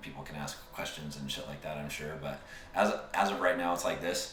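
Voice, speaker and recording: A man's very deep, low voice with an American accent, monotone and flat, at a fairly quick pace, with audible room echo and noticeable background noise. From Utah. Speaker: podcast co-host. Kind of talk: casual chat. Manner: halting.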